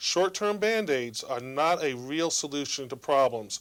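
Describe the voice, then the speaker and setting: A man with an American accent speaks at a fairly slow pace in an ordinary speaking voice. His pitch is fairly high, with ordinary variation. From Virginia. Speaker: state senator. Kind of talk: political address.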